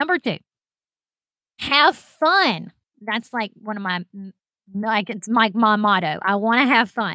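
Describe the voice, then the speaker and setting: In a Southern US accent, a woman with a fairly high pitch and a bright, sharp, animated tone speaks at a fairly slow pace with lively intonation, big swings in loudness and long, frequent pauses, in a dry, close sound with no echo on a very clean recording with a silent background. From Alabama. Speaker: podcast host, veteran and military spouse. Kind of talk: casual storytelling monologue; motivational talk.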